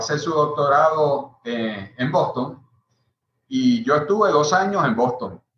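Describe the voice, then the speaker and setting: A man speaks at a very slow pace. His fairly high pitch moves in very wide swings. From Puerto Rico. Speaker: party electoral commissioner. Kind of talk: panel interview on video call.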